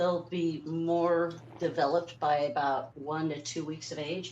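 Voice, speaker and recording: A woman talks at a fairly slow pace and a fairly low pitch. Noticeable background noise runs underneath. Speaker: cat foster carer. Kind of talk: live stream commentary.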